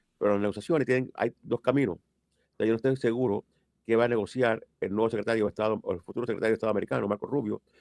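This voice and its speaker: A man talks at a very fast pace with a medium pitch and fairly even intonation, the sound dry and close with no echo. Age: 70s. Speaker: immigration lawyer. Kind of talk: interview.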